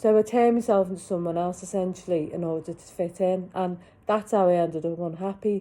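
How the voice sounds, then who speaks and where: A woman's dark, mellow voice at medium pitch, fairly quick in pace, with fairly even intonation. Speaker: vlogger. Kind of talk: personal vlog testimony. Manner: stuttering at times.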